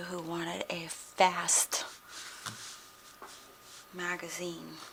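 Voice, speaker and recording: A soft-spoken woman, fairly low in pitch, with monotone, flat intonation and long, frequent pauses, amid noticeable background noise. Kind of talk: ASMR soft-spoken rambling.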